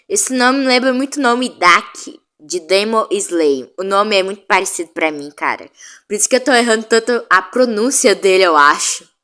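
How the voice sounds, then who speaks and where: Her voice is fairly high and bright with a sharp tone, and this woman talks at a moderate pace with lively intonation over a silent background in a very clean recording. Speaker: YouTuber. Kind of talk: casual commentary. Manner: loud.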